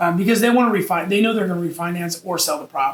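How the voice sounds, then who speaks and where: Against noticeable background noise, a man speaks with a high pitch and fairly even intonation. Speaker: real estate investor. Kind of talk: tutorial. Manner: fast; casual with many fillers.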